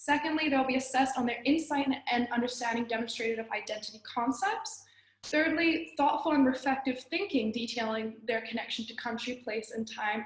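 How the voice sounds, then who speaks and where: A woman's high voice with ordinary pitch variation, a fairly quick pace and hardly any pauses, over noticeable background noise. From Australia, then China from age nine. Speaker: student teacher. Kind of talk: class presentation. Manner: halting, with frequent restarts.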